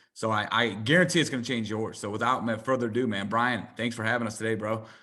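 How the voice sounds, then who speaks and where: A man speaks very fast at medium pitch with a bright, sharp tone and fairly even intonation, and room echo is audible. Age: 20s. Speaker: podcast host. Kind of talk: interview.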